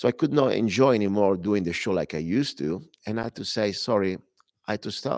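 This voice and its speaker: Talking very fast with an Italian accent, a man uses a fairly low voice and ordinary pitch variation in a dry, close recording with no echo. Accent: Italian accent, noticeable. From Italy. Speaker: radio talk show host and minister. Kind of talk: talk radio monologue. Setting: broadcast from a club temple. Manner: halting, self-correcting.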